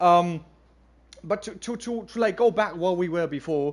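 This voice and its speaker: This man has a German accent and a high pitch. His intonation is lively. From Germany. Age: 20s. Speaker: gaming streamer. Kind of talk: casual chat. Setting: livestream. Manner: halting.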